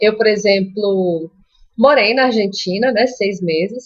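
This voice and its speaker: A woman speaks in a Minas Gerais accent. Her pace is fairly slow. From Brazil, Minas Gerais. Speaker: Spanish teacher. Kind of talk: live stream Q&A and tips. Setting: live stream. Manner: casual, conversational.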